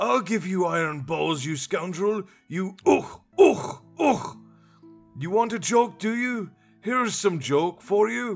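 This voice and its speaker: A man's put-on character voice, high-pitched and shouting in a furious tone at a fairly slow pace, with faint music in the background. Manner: furious, shouting, bleating.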